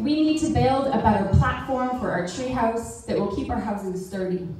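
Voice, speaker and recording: There is strong room echo and light background noise as a woman talks at a moderate pace with ordinary pitch variation. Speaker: poet. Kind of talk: poem performed. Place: hall.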